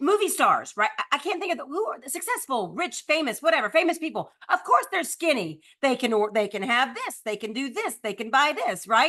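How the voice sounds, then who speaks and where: A woman speaks in a raised, projected voice at a high pitch, with hardly any pauses and a bright, sharp tone. Her pitch swings very widely and her loudness swings a lot. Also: fairly quick pace. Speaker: real estate coach. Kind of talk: live online book discussion. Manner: fast.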